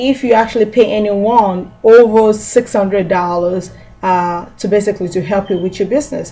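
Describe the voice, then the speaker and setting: A woman with an ordinary speaking voice speaks at a fairly high pitch with ordinary pitch variation. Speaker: small business tax trainer. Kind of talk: tutorial.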